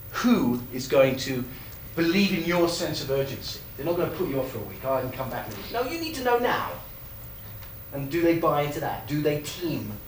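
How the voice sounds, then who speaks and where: A man's fairly high, lively voice at a fairly quick pace, with audible room echo and noticeable background noise. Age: 50s. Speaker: sports performance expert. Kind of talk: lecture. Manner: animated.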